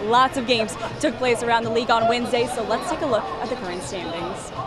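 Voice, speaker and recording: Over crowd noise in the background, a woman speaks very fast with a fairly high pitch and ordinary pitch variation. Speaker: bilingual sports reporter and host. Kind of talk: sports broadcast sideline report.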